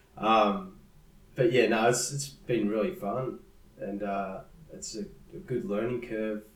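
With an Australian accent, a man of medium pitch speaks very slowly, with lively intonation, big swings in loudness and long, frequent pauses. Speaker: musician. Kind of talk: casual interview chat.

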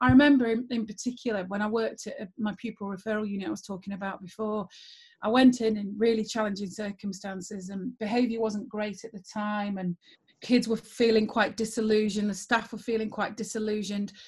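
A woman speaks at a fairly quick pace in a somewhat breathy, fairly high voice, her intonation fairly even while her loudness swings widely. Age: 40s. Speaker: former school principal and geography teacher. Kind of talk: interview conversation.

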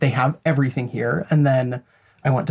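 A somewhat breathy man's voice, fairly high in pitch, with an American accent. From Idaho, rural. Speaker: psychologist. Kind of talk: interview.

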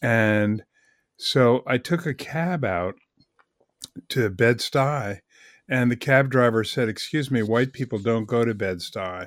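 With an American accent, a man of medium pitch speaks at a very slow pace with long, frequent pauses and ordinary pitch variation, on a very clean recording with a silent background. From Vermont, US. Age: 70s. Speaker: author. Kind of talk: casual interview. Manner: relaxed, conversational.

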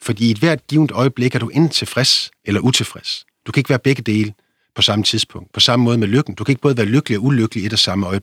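Speaking at a very fast pace with ordinary pitch variation, a man comes through dry and close with no echo in a very clean recording against a silent background. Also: medium pitch for a man. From Denmark, Vendsyssel (North Jutland). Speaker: philosopher and author. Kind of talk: interview.

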